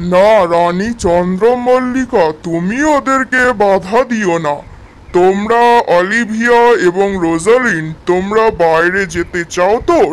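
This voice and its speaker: Putting on a cartoonish character voice, a man speaks at a high pitch and a fairly slow pace over light background noise. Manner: warm, encouraging.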